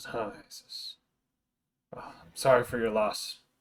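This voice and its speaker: A raspy, gruff put-on character voice from a man, at a fairly slow pace. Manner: gruff, grunting.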